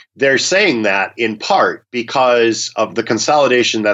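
A man's normal speaking voice with an American accent, at a moderate pace and with ordinary pitch variation. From US Minnesota. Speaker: media law professor. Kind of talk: expert interview discussion. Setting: phone call.

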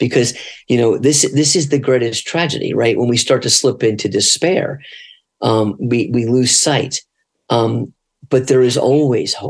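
A man's unremarkable speaking voice at medium pitch, fairly slow, with fairly even intonation. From north New Jersey and Florida. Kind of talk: casual interview.

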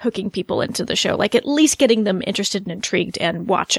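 The recording is very clean, with a silent background and a dry, close sound with no echo. A woman speaks at a medium pitch. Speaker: podcast co-host. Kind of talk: casual chat. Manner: animated.

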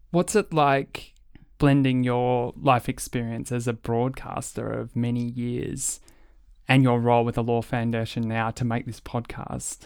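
A man speaks fairly slowly in an Australian accent with a medium pitch. The intonation stays fairly even on a very clean recording with a silent background. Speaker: podcast host. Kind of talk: interview. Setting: studio.

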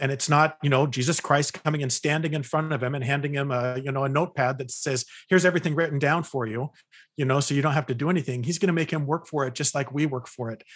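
In an American accent, a man with a fairly high, somewhat breathy voice talks at a very fast pace with fairly even intonation against a quiet background. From California. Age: 50s. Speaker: psychologist and author. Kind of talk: interview conversation.

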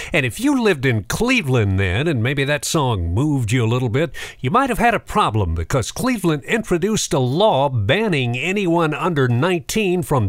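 A man talks in a fairly high voice with an upbeat tone. His pitch swings very widely. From Macon, Georgia. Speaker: radio host. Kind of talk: radio DJ patter, warm nostalgic music-history intros between records. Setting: studio. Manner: smooth, upbeat, conversational radio announcer; friendly, unhurried, trivia-laden storytelling.

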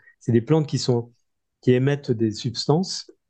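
Against a quiet background, a man speaks at medium pitch with ordinary pitch variation. His voice is somewhat breathy, with a dark, mellow tone. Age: 60s. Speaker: agronomist and author. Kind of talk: interview. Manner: halting, many repetitions.

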